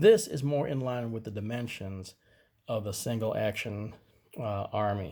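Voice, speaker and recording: A man speaks at a medium pitch with a dark, mellow tone and ordinary pitch variation, somewhat breathy. The recording is very clean, with a silent background. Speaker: gun review youtuber. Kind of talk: tutorial. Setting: indoors at home. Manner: halting, many fillers and restarts; casual.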